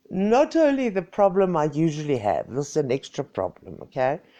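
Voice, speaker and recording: Using a dark, mellow tone with vocal fry, a woman talks at a fairly slow pace while her pitch swings very widely. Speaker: social media personality. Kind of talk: casual livestream chat.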